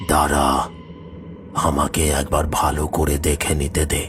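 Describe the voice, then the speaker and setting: Clear music plays behind a man doing a cartoonish character voice, very deep and low, at a fairly slow pace. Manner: commanding, authoritative.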